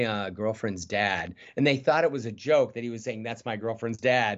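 Animated in tone, a man speaks with an American accent. He keeps a moderate pace and ordinary pitch variation. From Michigan, US. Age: 60s. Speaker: juggler and comedian. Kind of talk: casual interview.

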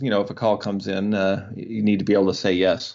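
In an Ontario accent, a man speaks fairly quickly at a fairly low pitch with monotone, flat intonation. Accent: Canadian (Ontario). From Canada, rural Ontario. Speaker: comedy juggler. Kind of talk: interview.

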